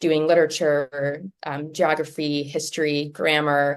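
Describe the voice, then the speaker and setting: The speaker has a Midwestern accent. The delivery moves at a fairly slow pace. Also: woman. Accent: Midwestern twang. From US Midwest, Minneapolis-Saint Paul, Minnesota. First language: Latvian. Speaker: literary translator. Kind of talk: talk. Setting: office. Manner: many fillers (um, uh).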